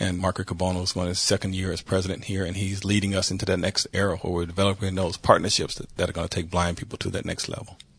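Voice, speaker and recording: Very fast and with hardly any pauses, a man speaks in a very deep, low, somewhat breathy voice with monotone, flat intonation. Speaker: blind advocate and nonprofit executive. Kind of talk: interview. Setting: studio. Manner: confident.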